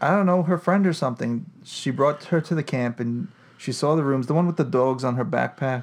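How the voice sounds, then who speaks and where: Against a quiet background, a man talks fast-ish in a plain, everyday voice with a fairly high pitch. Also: ordinary pitch variation. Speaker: podcast co-host. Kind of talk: casual chat, podcast banter. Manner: joking, sarcastic.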